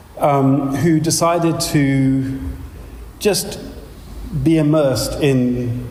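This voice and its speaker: The speaker has a London accent. The room echoes audibly and background noise is noticeable. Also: man. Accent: southern English (London). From London, England. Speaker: pastor and teacher. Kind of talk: lecture.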